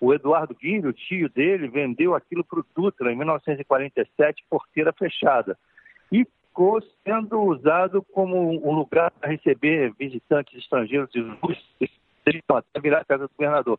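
At a moderate pace, a man talks with fairly high pitch and ordinary pitch variation. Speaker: film director. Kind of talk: interview. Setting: phone call. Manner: halting, repeats words. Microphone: telephone line.

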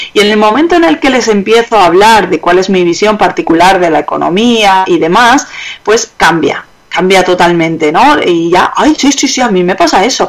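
Over noticeable background noise, a woman with a medium pitch talks at a moderate pace with very even loudness. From Germany. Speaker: economic consultant. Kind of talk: interview.

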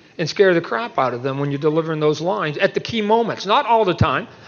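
The man uses ordinary pitch variation, and noticeable background noise can be heard. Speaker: comic book artist and panel moderator. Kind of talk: convention panel conversation. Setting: stage with audience. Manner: speaks clearly.

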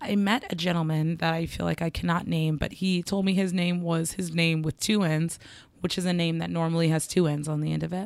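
Speaking at a fairly quick pace, a woman with an unremarkable speaking voice keeps her fairly low pitch at a fairly even intonation. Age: 30s. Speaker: podcast co-host. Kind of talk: casual chat.

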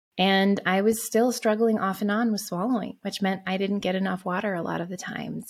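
A woman talks at a fairly quick pace and medium pitch. Her voice is somewhat breathy, and her intonation stays fairly even. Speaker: podcast host. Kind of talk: pep talk. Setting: solo podcast recording. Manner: earnest, encouraging, personal.

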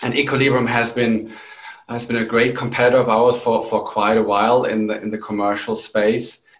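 A man speaks at a moderate pace with a slight German accent. His pitch is medium. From Germany. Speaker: company CEO. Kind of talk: professional interview.

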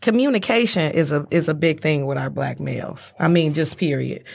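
A woman's very deep, low voice with vocal fry and ordinary pitch variation, in a very clean recording with a silent background. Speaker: guest. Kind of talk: casual chat.

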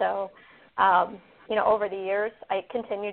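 This woman has an American accent. She talks at a medium pitch. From Fort Wayne, Indiana. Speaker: franchise owner.

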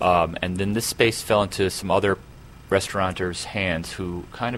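The man's voice is very deep and low, with fairly even intonation. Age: 40s. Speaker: jazz pianist and club owner. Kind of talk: interview.

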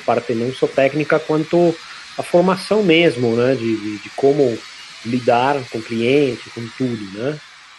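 A man with lively intonation at a fairly slow pace, against noticeable background noise. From Argentina, Buenos Aires. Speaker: podcast host. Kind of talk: casual chat. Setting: remote recording.

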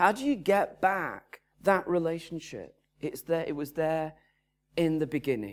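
The speech moves at a fairly slow pace. It is a very clean recording with a silent background. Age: 50s. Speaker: pastor. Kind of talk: sermon.

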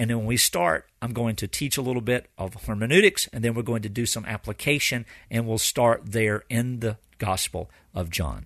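Recorded dry and close with no echo against a quiet background, a man talks at a medium pitch with ordinary pitch variation. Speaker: pastor hosting a Bible teaching podcast. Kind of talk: teaching lecture. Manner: fast, continuous with few pauses.

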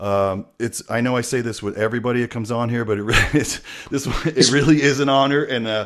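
Fairly quick in pace, a man uses an ordinary speaking voice of medium pitch and ordinary pitch variation. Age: 50s. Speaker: podcast host. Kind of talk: casual chat.

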